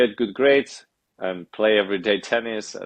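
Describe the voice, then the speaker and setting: A man with a Spanish accent at a fairly quick pace, with fairly even intonation. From Spain, Madrid. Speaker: athlete and author. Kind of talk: podcast interview.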